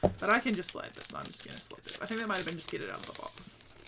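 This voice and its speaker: In a New Zealand accent, a woman sounds excited, speaking at a fairly high pitch with lively intonation over noticeable background noise. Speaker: Twitch streamer. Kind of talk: casual unboxing talk to camera. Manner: excited, chatty. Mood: excited, delighted.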